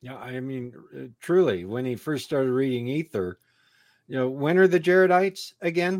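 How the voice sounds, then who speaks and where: A man with an ordinary speaking voice talks at medium pitch and a moderate pace, with lively intonation and big swings in loudness. The recording is very clean with a silent background. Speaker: scholar and tour guide. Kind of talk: casual chat.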